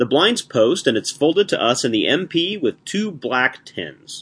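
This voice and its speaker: At a moderate pace, a man speaks with vocal fry. His fairly high pitch moves in very wide swings. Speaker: announcer and hand reader. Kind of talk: scripted announcement and reading.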